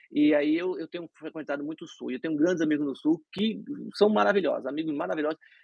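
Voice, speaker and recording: In a dry, close sound with no echo, a man delivers his words at a very fast pace with lively intonation. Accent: Brazilian. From Brazil (Recife). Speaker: dentist. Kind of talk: interview. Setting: live stream.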